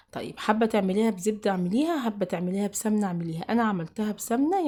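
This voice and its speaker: A woman speaks in a somewhat breathy voice at medium pitch. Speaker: cooking channel host. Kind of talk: cooking tutorial. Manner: casual, halting with fillers.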